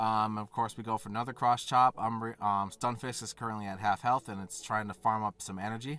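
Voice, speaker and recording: With hardly any pauses, a man talks at a fairly quick pace in a fairly low, bright, sharp voice. His loudness swings widely. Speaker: gaming YouTuber. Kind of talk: gameplay commentary. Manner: animated.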